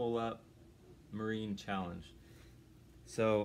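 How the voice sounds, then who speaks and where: A man talks at a fairly slow pace over light background noise. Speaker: home handyman vlogger. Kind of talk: casual vlog chat. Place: home room. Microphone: phone near.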